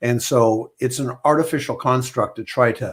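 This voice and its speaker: A man speaks somewhat breathily on a very clean recording with a silent background. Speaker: mindset coach for money and trading. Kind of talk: podcast interview.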